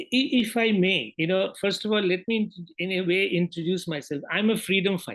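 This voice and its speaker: With a Bengali accent, a man speaks at a moderate pace in a high pitch with ordinary pitch variation. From Bangladesh. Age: 70s. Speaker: newspaper editor. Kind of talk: interview.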